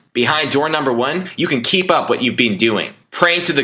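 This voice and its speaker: At a moderate speed and with normal pitch movement, a man speaks in a normal speaking voice. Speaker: online marketer. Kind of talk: sales pitch.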